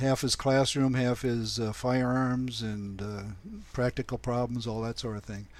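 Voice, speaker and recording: A man speaks fairly slowly at medium pitch. His intonation is monotone and flat. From Milwaukee, Wisconsin. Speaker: retired FBI agent. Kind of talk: casual interview.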